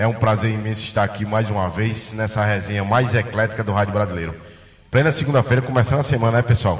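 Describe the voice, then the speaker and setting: The speech comes at a very fast pace with fairly even intonation. Noticeable background noise is present. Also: man, fairly low pitch for a man. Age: 40s. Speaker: radio sports co-host. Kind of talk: casual radio chat. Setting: studio.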